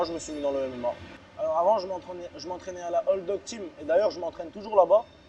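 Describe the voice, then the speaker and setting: A high-pitched man with lively intonation and a fairly quick pace, against noticeable background noise. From France, Strasbourg (Alsace), born in Chechnya. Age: 20s. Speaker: MMA fighter. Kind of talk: interview. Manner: hesitant, many fillers and repetitions.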